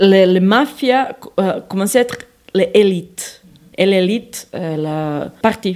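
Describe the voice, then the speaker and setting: With noticeable background noise behind her, a woman with a Serbian accent speaks at a very slow pace in a medium pitch with ordinary variation. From Serbia, Belgrade. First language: Serbian (speaking French). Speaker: soup maker and former journalist. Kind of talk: recorded interview. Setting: market and home kitchen. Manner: halting.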